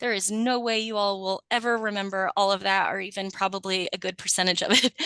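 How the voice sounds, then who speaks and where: The voice has a bright, sharp tone and a monotone, flat intonation at a very fast pace. The sound is dry and close, with no echo. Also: woman, medium pitch for a woman. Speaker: VA palliative care staff presenter. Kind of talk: presentation on a video call. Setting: video call.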